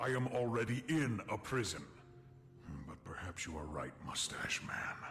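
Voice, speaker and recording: A man performs a put-on character voice at a medium pitch. Clear background noise is present. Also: moderate pace. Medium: machinima. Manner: formal, literal, no contractions.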